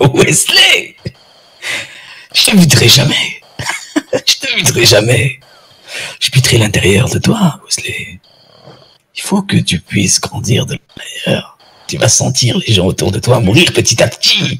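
In a put-on character voice, a man speaks at a fairly slow pace with a raspy, menacing tone at medium pitch, leaving long, frequent pauses. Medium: game stream. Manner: menacing, slow, patronising.

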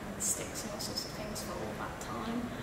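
Loud background noise and audible room echo surround a woman as she speaks. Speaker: artist. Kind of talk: interview answer. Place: hall.

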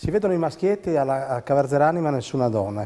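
A man's fairly quick delivery with lively intonation. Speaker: TV station director; TV show host. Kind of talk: talk show hosting. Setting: studio. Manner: halting. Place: studio. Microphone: lapel.

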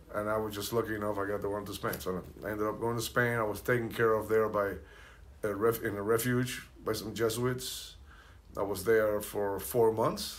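The speaker has a Spanish accent and a monotone, flat intonation. The pace is moderate. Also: man, fairly low pitch for a man. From Cuba, Santiago de Cuba; raised in Hollywood from teens; Cuba. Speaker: percussionist; guest. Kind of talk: casual chat. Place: home room. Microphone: camera far.

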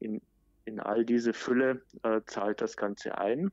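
A man's fairly low-pitched voice. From Germany, outside Baden. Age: 40s. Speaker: digital marketing manager. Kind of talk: interview. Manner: frequent filler sounds.

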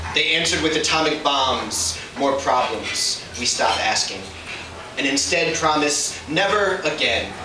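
Amid noticeable background noise and audible room echo, a man speaks at a very slow pace with a fairly high pitch and ordinary pitch variation. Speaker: slam poet. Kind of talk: spoken word poetry performance. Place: stage. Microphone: camera far.

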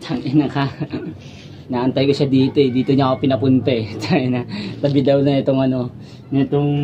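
Over noticeable background noise, a man speaks at a fairly quick pace in a monotone, flat intonation with very even loudness. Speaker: vlogger. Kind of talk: casual vlog chat, agitated. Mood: angry, aggressive, swearing. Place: street. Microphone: phone near.

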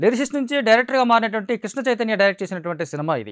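A man speaks in a high, fairly bright, clear, smooth voice with ordinary pitch variation, faint music in the background of a very clean recording with a silent background.

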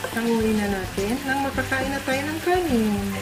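A woman at a fairly slow pace, with ordinary pitch variation and clear music in the background. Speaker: home cook vlogger. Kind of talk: casual cooking tutorial chat. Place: kitchen.

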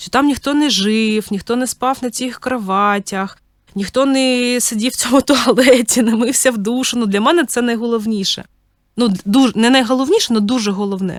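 Using a normal speaking voice, a woman talks at a moderate pace and a fairly high pitch with ordinary pitch variation. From Ukraine. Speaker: podcast host, mother of three. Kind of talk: personal storytelling monologue. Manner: casual, with many filler words.

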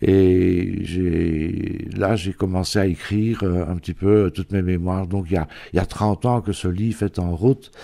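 A man speaks at a very slow pace in a very deep, low voice with a dark, mellow tone. His intonation is fairly even, and the recording is very clean with a silent background. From Belgium, near Givet (Ardennes border). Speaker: painter and author. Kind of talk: interview. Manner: halting, with many repetitions.

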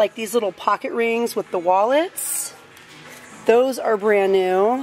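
A woman speaks with ordinary pitch variation. Faint music plays in the background. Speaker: shopping vlogger. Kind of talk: casual vlog chat. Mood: cheerful, enthusiastic. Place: shop. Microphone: phone near.

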